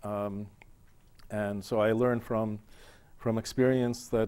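A man with an American accent, fairly low pitch, monotone, flat intonation and a moderate pace. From Buffalo, New York. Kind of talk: TV interview. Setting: TV studio. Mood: calm, reflective, personal. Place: studio. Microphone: lapel.

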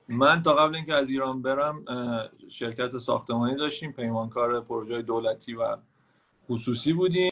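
The background is quiet as a man speaks at a moderate pace. His voice shows ordinary pitch variation. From Iran. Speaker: caller. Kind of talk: casual chat. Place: home room. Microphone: video call.

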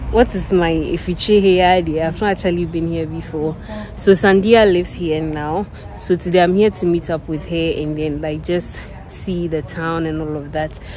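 A woman with an ordinary speaking voice, fairly low in pitch, at a moderate pace, with light background noise and a dry sound without echo. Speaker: student vlogger. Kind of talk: casual vlog chat. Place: street. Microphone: phone near.

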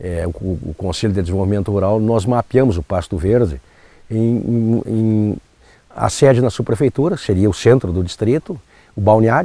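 A man with a fairly low pitch and a dark, mellow tone talks at a moderate pace with lively intonation. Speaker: local resident. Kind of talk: documentary interview.

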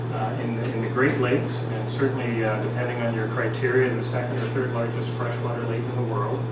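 Over loud background noise and audible room echo, a man talks at a fairly quick pace. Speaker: presenter. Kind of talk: lecture. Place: hall. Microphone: camera far.

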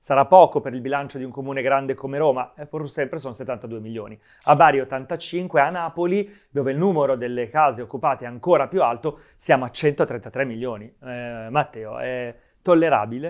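A man talks at a moderate pace with ordinary pitch variation and big swings in loudness. The background is quiet. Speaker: TV talk show host. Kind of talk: political talk show moderation. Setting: studio. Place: studio. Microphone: lapel.

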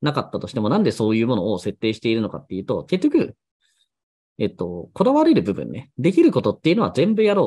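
A man's fairly high voice with vocal fry and very wide pitch swings, very fast, over a quiet background. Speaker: blog and SEO YouTuber; blogging business YouTuber. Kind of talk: solo monologue, casual explainer video. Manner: conversational, chatty. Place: home room.

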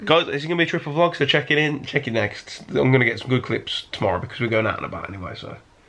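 Talking at a very fast pace with hardly any pauses, a man shows vocal fry, lively intonation, and big swings in loudness. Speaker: vlogger; car cleaner. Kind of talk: casual vlog chat.

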